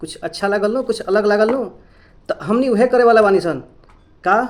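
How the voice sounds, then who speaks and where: A man talks in a Bihari accent at a moderate pace. His pitch is high, with ordinary variation. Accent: Bhojpuri-accented Hindi and English. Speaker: English teacher. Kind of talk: English lesson to camera. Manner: casual, friendly.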